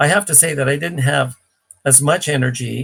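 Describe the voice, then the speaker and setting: An unremarkable speaking voice from a man, medium in pitch with ordinary variation, at a moderate pace. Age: 60s. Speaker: cleanse program expert. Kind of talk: live Q&A.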